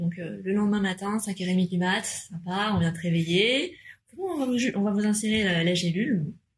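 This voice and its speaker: The woman has a normal speaking voice, a mid-range pitch, a moderate tempo and typical pitch movement. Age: 30s. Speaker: mother. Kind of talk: casual chat.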